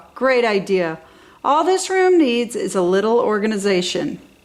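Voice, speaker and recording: A woman puts on a character voice at a fairly high pitch. Her pitch swings very widely at a moderate pace. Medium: read story. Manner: patient, reasonable.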